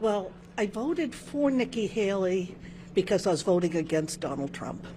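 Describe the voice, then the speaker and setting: At a moderate pace, a woman with an American accent talks in a medium-pitched, dark, mellow, somewhat breathy voice with lively intonation. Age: 70s. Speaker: voter interviewed at polls. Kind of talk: street interview.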